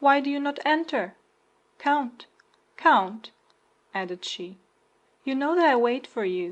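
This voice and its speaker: Against a quiet background, a woman uses a put-on character voice that is high-pitched, shaky and lively in intonation. She talks at a fairly slow pace with long, frequent pauses. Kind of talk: formal, archaic. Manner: seductive, feigned eagerness.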